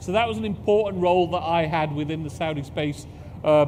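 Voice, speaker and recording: With a British accent, a man speaks with lively intonation amid audible room echo. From UK, parents from Pakistan. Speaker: space agency executive. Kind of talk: conference talk.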